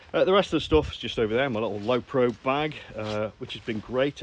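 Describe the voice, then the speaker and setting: This man talks at a fairly quick pace with a Staffordshire accent. His pitch sits in the medium range. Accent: Stoke-on-Trent (Potteries). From Stoke-on-Trent, England. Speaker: landscape photographer. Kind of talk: casual talk to camera. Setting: outdoors.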